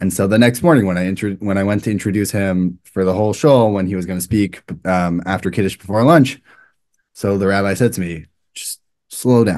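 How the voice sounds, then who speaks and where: A man speaks at a fairly quick pace with an American accent and a fairly low pitch. His pitch varies in an ordinary way against a quiet background. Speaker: rabbi. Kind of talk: interview. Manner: fast; animated, uses hands a lot.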